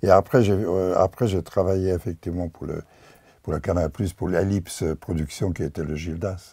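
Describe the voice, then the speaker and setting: This man has a very deep, low pitch and a dark, mellow tone that is somewhat breathy. He speaks at a moderate pace with fairly even intonation. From Hungary / Czechoslovakia border region. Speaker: painter and filmmaker. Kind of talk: interview. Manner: halting.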